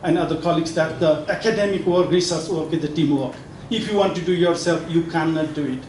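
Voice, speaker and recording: A man talks at a fairly quick pace in a high pitch with fairly even intonation. The room echo is audible and there is noticeable background noise. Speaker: professor and book editor. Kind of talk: speech at a book launch. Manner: halting, many fillers and restarts.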